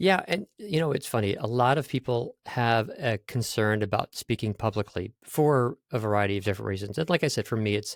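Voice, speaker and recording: A man with lively intonation at a fairly quick pace, dry and close with no echo, on a very clean recording with a silent background. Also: hardly any pauses. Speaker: voiceover studio CEO and speaking coach. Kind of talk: interview. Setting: podcast. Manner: occasionally fumbles for words.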